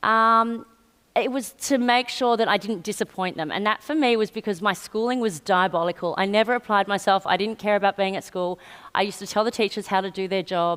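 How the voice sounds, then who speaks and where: On a very clean recording with a silent background, a woman with an Australian accent speaks at a fairly quick pace in a medium pitch with ordinary pitch variation. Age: 40s. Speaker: PR entrepreneur. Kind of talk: on-stage interview. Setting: stage with audience.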